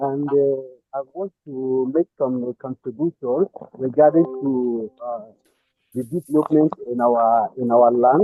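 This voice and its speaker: Speaking at a very slow pace, a man with a Nigerian accent uses a medium pitch and ordinary pitch variation. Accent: Nigerian Igbo English. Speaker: caller. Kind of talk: call-in contribution. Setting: phone call. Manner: halting. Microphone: too quiet.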